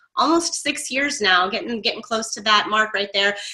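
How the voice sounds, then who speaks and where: A woman speaks at a fairly quick pace with an American accent. Background noise is noticeable. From Florida, Tampa. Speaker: online marketing coach. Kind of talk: webinar training.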